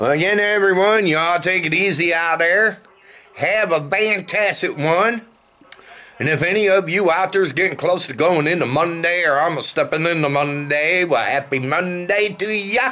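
The loudness stays very even. The pace is moderate. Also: man, high pitch for a man, ordinary pitch variation. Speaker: vlogger. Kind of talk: casual vlog chat. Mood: relaxed, friendly. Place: home room. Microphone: phone near.

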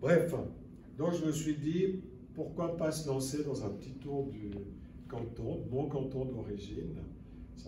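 A man speaks at a very slow pace over loud background noise. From Lower Valais, Switzerland. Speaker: conference speaker and author. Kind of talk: lecture. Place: hall. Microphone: camera far.

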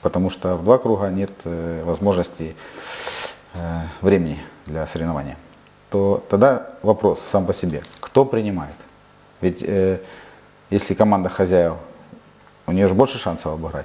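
Long pauses come often. The pace is moderate, and the pitch varies in an ordinary way. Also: man. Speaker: football club president and player. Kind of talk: interview. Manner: halting. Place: studio.

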